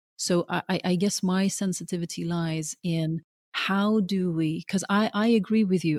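A woman's fairly low, somewhat breathy voice with fairly even intonation at a fairly slow pace. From Norway, Oslo; moved to UK at twelve. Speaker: documentary filmmaker. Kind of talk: interview conversation. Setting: remote call over the internet. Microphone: spotty audio, sound problems on her side.

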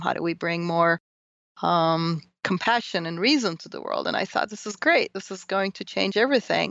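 A woman with a Turkish accent and lively intonation. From Turkey. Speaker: professor. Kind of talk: interview.

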